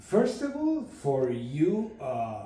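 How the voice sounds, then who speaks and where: With a non-native accent, a man speaks in a dark, mellow tone with very wide pitch swings, and audible room echo surrounds him. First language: not English. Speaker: recovering alcoholic, trade school student. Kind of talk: interview. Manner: halting.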